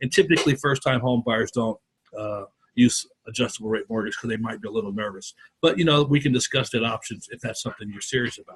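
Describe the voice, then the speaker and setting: A man with a medium-pitched, somewhat breathy voice talks at a very fast pace with ordinary pitch variation. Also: big swings in loudness. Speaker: mortgage loan officer. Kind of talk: workshop presentation.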